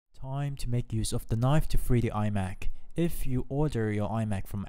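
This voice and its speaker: A man's dark, mellow voice at a moderate pace with ordinary pitch variation. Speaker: tech reviewer. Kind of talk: product review narration.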